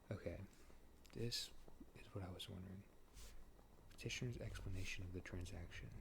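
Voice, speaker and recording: Soft-spoken, a man talks at a fairly quick pace broken by long, frequent pauses. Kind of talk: ASMR sleep reading of a court case. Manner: casual, conversational, relaxed.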